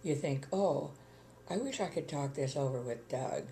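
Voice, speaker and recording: In a room with audible echo, a woman speaks with a very deep, low pitch. Her voice is somewhat breathy and has a dark, mellow tone. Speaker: retired widow. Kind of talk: interview.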